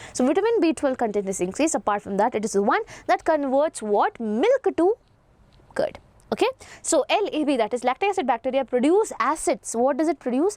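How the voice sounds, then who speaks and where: With an Indian accent and a high pitch, a woman speaks at a fairly quick pace with very wide pitch swings in a dry, close sound with no echo. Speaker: biology teacher. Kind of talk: online lecture.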